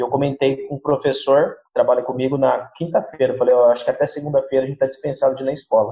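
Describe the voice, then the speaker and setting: Speaking very fast with fairly level intonation, a man has a somewhat breathy voice. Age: 20s. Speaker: schoolteacher. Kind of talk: interview.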